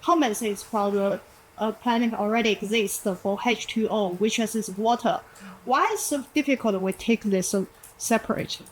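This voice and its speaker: A woman speaks at a moderate pace. Her pitch is fairly high, with ordinary variation. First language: not English. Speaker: audience member asking a question. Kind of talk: audience question. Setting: live event with audience. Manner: halting.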